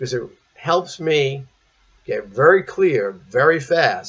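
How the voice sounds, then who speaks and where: A man with a fairly high, somewhat breathy voice speaks with lively intonation. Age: 60s. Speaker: priest. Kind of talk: sermon.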